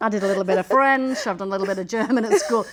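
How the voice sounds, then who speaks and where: In an English accent, the speaker talks very fast with an animated tone and ordinary pitch variation over noticeable background noise. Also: woman. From England. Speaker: podcast host. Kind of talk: casual chat. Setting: in a mosque.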